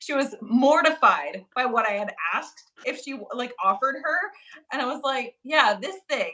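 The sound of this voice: Her voice is raised and projected, high-pitched, with a bright, sharp tone. A woman speaks at a moderate pace with lively intonation.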